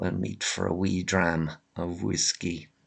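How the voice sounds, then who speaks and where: With vocal fry and a very deep, low pitch, a man speaks against a quiet background. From Ireland, Limerick. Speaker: vlogger. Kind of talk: casual monologue rant. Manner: many fillers and hesitations.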